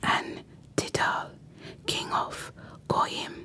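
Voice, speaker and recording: Very slow whispering from a woman over noticeable background noise. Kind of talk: whispered Bible reading for relaxation and sleep. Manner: soft, whispered.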